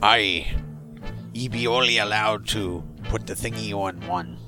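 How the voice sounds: A man's put-on character voice, fairly low in pitch, at a moderate pace over clear music in the background.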